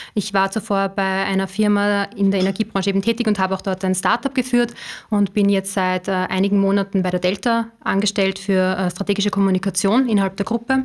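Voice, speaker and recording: Her loudness very even, a woman speaks at a fairly quick pace and a medium pitch with monotone, flat intonation. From Upper Austria. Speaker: strategic communications manager. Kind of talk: podcast interview. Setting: studio.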